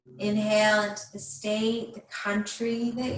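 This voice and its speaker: Noticeable background noise is present. Over it, a woman speaks. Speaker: mindfulness / breathing class instructor. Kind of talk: guided breathing meditation. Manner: slow, calm, soothing, with long pauses.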